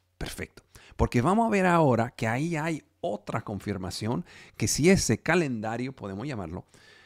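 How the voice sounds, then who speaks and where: Recorded very cleanly against a silent background with a dry, close sound and no echo, a man with a non-native accent talks at a fairly slow pace in a medium pitch, his voice making very wide pitch swings. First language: not Spanish (speaking Spanish). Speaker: preacher. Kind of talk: sermon. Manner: halting.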